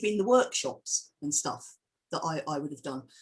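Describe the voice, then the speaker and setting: A woman with an English accent speaks in a somewhat breathy voice. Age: 60s. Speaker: filmmaker and historian. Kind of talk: interview Q&A. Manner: animated; halting.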